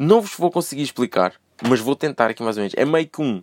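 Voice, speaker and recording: Animated and fairly high-pitched, a man speaks with very wide swings in pitch. The audio is dry and close, without any echo. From Portugal, moved from Brazil as a small child. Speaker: solo podcaster. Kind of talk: casual monologue.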